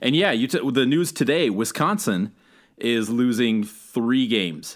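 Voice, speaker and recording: With a plain, everyday voice, a man speaks at a medium pitch with ordinary pitch variation. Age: 30s. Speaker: sports podcast co-host. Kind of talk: casual sports chat.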